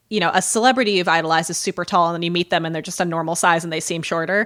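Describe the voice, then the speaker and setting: A woman with an American accent at medium pitch, on a very clean recording with a silent background. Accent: Midwestern, coming back. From US Midwest. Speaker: podcast co-host. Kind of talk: casual chat.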